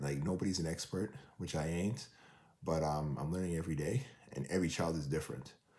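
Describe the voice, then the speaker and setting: A man with a Toronto accent talks at a fairly quick pace in a very deep, low voice of dark, mellow tone, with ordinary pitch variation. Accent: Canadian (Toronto). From Canada, Toronto. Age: 40s. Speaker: vlogger and track runner, father of four. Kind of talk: casual vlog monologue. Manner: casual, filler-heavy.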